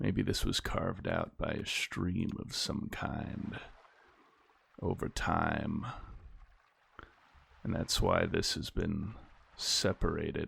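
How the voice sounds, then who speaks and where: This soft-spoken man speaks at a very slow pace, leaving long, frequent pauses. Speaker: gaming YouTuber. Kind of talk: gameplay commentary. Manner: quiet.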